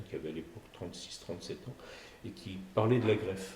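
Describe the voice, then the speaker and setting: Amid audible room echo, a man talks at a moderate pace in a somewhat breathy voice with ordinary pitch variation. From Provence, southern France. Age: 60s. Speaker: cardiac surgeon. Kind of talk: podcast interview. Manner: hesitant, with frequent fillers and repetitions.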